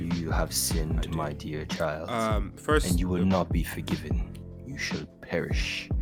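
Over clear background music, a man uses a put-on character voice with a very deep, low pitch at a moderate pace. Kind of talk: dramatic voiceover. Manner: stern, condemning.

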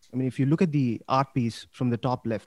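At a fairly quick pace, a man with an unremarkable speaking voice talks at medium pitch, the sound dry and close with no echo on a very clean recording with a silent background. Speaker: crypto investor. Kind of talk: interview chat.

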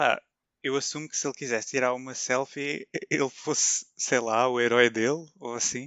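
This man has an ordinary speaking voice at a medium pitch. He keeps a moderate pace with fairly even intonation. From Portugal, Vilamoura (Algarve). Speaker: podcast co-host. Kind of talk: casual chat.

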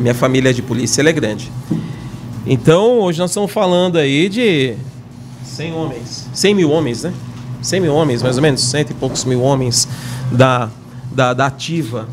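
A man at a moderate pace with long, frequent pauses, audible room echo, and noticeable background noise. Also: medium pitch for a man, ordinary pitch variation. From São Paulo, Brazil. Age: 50s. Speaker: retired military police corporal. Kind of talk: casual chat. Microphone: too far from the mic.

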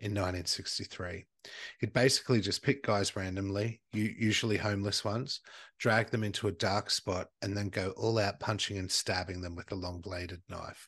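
With an Australian accent, a man speaks at a moderate pace in a fairly low pitch and an animated tone against a quiet background. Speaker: podcast host. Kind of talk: true-crime storytelling over drinks, casual chat. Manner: animated, jokey, swears.

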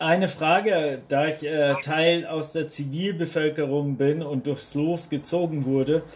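Speaking very slowly, a man keeps a fairly high pitch and fairly even intonation. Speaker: randomly selected citizen participant, climate activist. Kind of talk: online workshop discussion.

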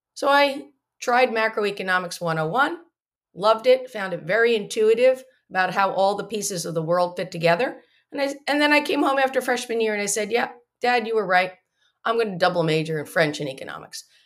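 An unremarkable speaking voice with an American accent moves at a fairly quick pace. Its intonation is lively. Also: woman, fairly high pitch for a woman. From US Northeast, New Jersey. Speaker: economist, company founder. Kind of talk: interview. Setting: video call.

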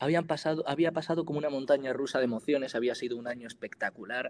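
A man at a very fast pace, fairly high pitch and ordinary pitch variation. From Spain, Granada (Andalusia). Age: 20s. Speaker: singer-songwriter and student. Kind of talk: interview.

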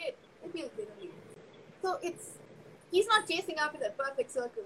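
Over noticeable background noise, a woman with a Tamil accent speaks fairly quickly in a raised, projected voice, her tone animated and her intonation lively. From Chennai, India. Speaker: podcast guest. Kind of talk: casual chat.

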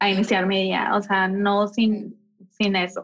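The voice is somewhat breathy. It belongs to a woman. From Mexico, Mexicali, Baja California. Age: 20s. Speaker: interior designer and architect. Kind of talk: interview conversation.

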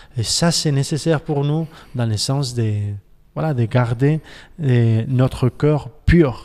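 Speaking very slowly with a Spanish accent, a man uses a medium pitch, a dark, mellow tone, ordinary pitch variation and long, frequent pauses. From Spain, Barcelona. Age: 40s. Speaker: pastor. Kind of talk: casual chat. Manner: halting.

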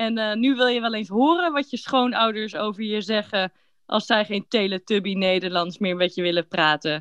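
A woman has an unremarkable speaking voice with a fairly high pitch. Her pace is moderate and her pitch variation ordinary. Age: 30s. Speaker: podcast host for Dutch learners. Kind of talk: scripted casual chat for language learners. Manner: clear, relaxed pace for learners.

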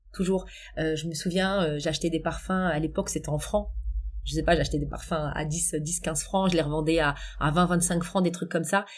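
Speaking at a moderate pace, a woman with a very deep, low pitch uses a monotone, flat intonation with vocal fry. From Paris suburbs, France (Essonne). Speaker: coach and public speaking trainer. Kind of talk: interview conversation.

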